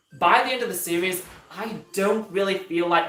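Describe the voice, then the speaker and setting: The clip has audible room echo and music playing in the background. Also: man. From Yorkshire, northern England. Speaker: YouTuber, Disney animation commentator. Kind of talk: live stream Q&A. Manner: hesitant, many fillers; casual, chatty.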